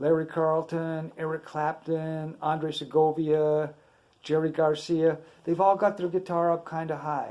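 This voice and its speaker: A dark, mellow tone in a man's fairly high voice. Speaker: guitar teacher. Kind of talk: tutorial. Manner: casual.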